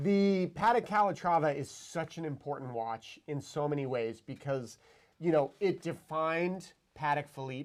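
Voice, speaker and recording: A man with a plain, everyday voice speaks at a fairly high pitch with ordinary pitch variation, in a very clean recording with a silent background. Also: moderate pace. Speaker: watch show host. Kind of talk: casual chat.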